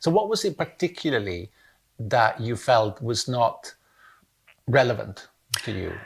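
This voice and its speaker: Over a very clean recording with a silent background, a somewhat breathy voice with lively intonation moves at a fairly slow pace, broken by long, frequent pauses. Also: man, medium pitch for a man. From Italy. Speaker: academic interviewer. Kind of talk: interview.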